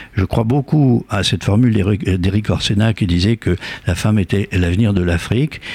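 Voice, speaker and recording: Somewhat breathy and dark, mellow in tone, a man speaks at a moderate pace in a fairly low pitch, with ordinary pitch variation and very even loudness. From Algeria. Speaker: author. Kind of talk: interview. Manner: halting with frequent repetitions.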